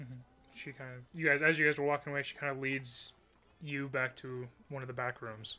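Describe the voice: This is plain reading aloud.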